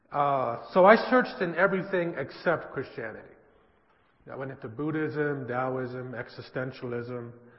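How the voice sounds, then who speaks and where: A man's voice with big swings in loudness and audible room echo. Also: medium pitch for a man, ordinary pitch variation, moderate pace. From US West Coast, San Francisco. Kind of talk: church presentation. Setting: church with audience.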